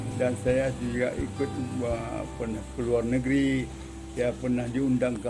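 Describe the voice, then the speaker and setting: A man speaks at a moderate pace with a medium pitch and a flat, monotone delivery. The room echo is audible and background noise is noticeable. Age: 80s+. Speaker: war veteran. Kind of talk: interview. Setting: museum. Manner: halting.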